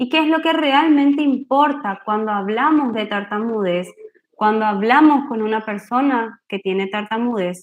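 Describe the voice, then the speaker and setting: A woman with a normal speaking voice, fairly high in pitch with ordinary pitch variation. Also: fairly slow pace. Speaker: speech therapist giving a workshop. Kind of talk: online workshop talk. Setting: video call.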